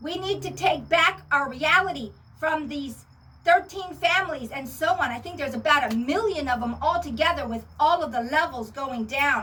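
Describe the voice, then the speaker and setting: Using a raised, projected voice, a woman speaks at a high pitch with big swings in loudness. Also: lively intonation, moderate pace. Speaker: spiritual video channel host. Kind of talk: monologue to camera. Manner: animated.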